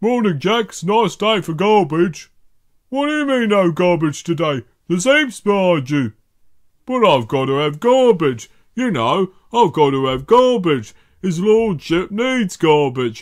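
A man uses a put-on character voice pitched high. He talks at a moderate pace. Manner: slow, hesitant.

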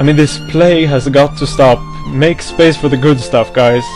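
A man at a moderate pace with ordinary pitch variation, clear music in the background. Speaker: anime music video editor. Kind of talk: angry rant to camera. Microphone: headset.

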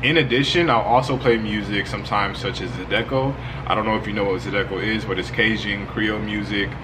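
A man rattles on at a very fast pace while noticeable background noise fills the clip. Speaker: spiritual content creator. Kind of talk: tutorial. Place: home room.

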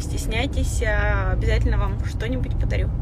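A woman at a fairly quick pace, dry sound with no echo, over loud background noise. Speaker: blogger. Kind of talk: casual vlog chat. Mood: upbeat, cheerful. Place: car. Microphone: phone near.

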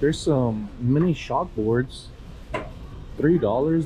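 Light noise sits behind the voice of a man. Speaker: reseller thrifting. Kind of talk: casual vlog chat. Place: shop. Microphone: phone near.

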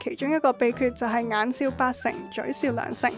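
Over music in the background, a woman talks in a high pitch with ordinary pitch variation. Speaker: documentary narrator. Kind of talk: feature documentary narration.

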